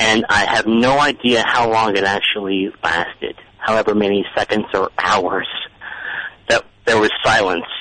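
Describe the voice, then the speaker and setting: Someone with an American accent talks at a fairly slow pace against noticeable background noise. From South Florida. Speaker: caller. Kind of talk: testimony. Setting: phone call. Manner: halting.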